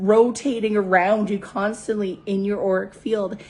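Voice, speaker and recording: A woman's medium-pitched voice sounds strained and somewhat breathy, with fairly even intonation. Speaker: spiritual coach. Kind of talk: motivational talk.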